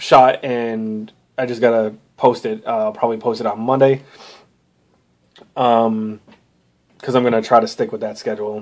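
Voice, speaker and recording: A man speaks at a medium pitch and moderate pace with long, frequent pauses. His intonation is monotone and flat. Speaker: comic book reviewer. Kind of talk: casual monologue. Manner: halting, many fillers.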